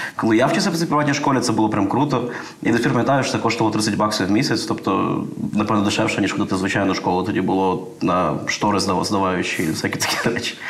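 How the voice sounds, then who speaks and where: A man talks at a very fast pace with a fairly low pitch, ordinary pitch variation and very even loudness. There is noticeable background noise along with audible room echo. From Lviv, western Ukraine. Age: 30s. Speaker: IT company manager. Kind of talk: casual interview chat.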